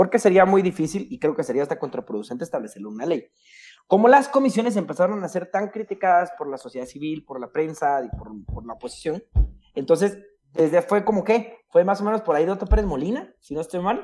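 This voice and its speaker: This man talks at a very fast pace with a high pitch. His tone is dark and mellow, with very wide pitch swings. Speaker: lawyer. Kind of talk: casual chat.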